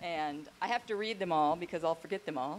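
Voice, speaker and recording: Light background noise sits behind a woman's voice. She speaks with lively intonation. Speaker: daughter of the deceased. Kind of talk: eulogy. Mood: emotional, grateful, warm. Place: garden. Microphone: handheld.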